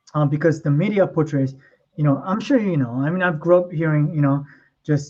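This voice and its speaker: In a Korean accent, a man talks at a fairly quick pace with a dark, mellow tone and some breathiness. The background is quiet. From South Korea (Seoul), moved to US as a child. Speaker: model and stay-at-home dad. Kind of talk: podcast interview. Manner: casual, many fillers.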